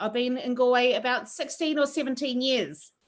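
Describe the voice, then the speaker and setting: A woman with a high pitch and a strong New Zealand accent. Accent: thick New Zealand. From New Zealand, Wairoa. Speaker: chef. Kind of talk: online cooking class chat. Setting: video call.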